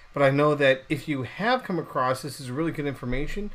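This man has an ordinary speaking voice with a fairly high pitch. He talks at a fairly quick pace with lively intonation. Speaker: podcast host. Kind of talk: podcast intro.

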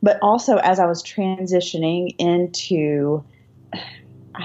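A woman's fairly low-pitched, ordinary speaking voice. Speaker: author. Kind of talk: casual chat between friends.

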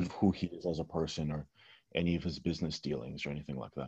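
Against a quiet background, a man with vocal fry talks at a fairly quick pace. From California, US. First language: Russian. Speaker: online writer and manosphere commentator. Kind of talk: casual interview.

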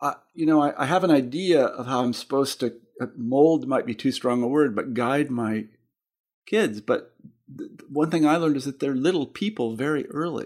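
With an American accent, a man uses a normal speaking voice at a fairly high pitch, moderate pace and ordinary pitch variation. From Kansas. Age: 50s. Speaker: podcast host and editor. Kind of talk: interview. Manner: conversational, laughs often.

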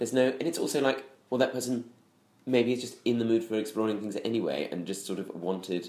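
This man talks at a very fast pace, his medium pitch moving with ordinary variation. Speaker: comedian podcast co-host. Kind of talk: casual chat. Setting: home kitchen.

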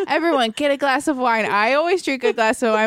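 Someone with an American accent talks at a fairly quick pace with ordinary pitch variation while noticeable background noise runs underneath. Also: woman. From Florida, US. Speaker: improviser and comedic writer. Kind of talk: casual chat.

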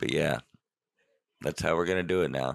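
A man's very deep, low voice has a bright, sharp tone, vocal fry and ordinary pitch variation. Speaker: podcast co-host. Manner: joking, casual, profane.

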